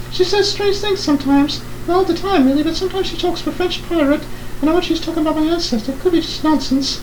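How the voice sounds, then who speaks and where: A man's squeaky put-on character voice, extremely high in pitch and very fast, over loud background noise. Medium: solo performance. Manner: earnest, pleading.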